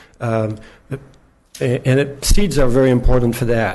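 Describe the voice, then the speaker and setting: A man's voice with audible room echo. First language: not English. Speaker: gardener speaking at public comment. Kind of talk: public comment at city council. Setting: city council chamber. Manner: halting, many fillers.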